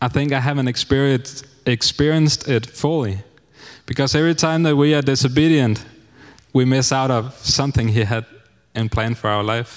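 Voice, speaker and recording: A man with a Danish accent speaks with fairly even intonation. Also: medium pitch for a man, moderate pace. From Denmark. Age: 30s. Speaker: missionary. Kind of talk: testimony. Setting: church.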